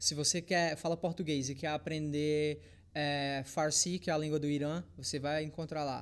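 A normal speaking voice with fairly even intonation keeps a moderate pace in a very clean recording, silent background. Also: man, fairly high pitch for a man. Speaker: fitness content creator. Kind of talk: casual chat.

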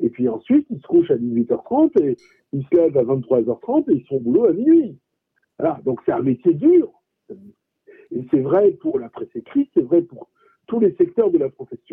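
Speaking at a moderate pace, a man leaves long, frequent pauses while his loudness swings widely. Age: 50s. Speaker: journalist, press union president. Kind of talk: radio interview.

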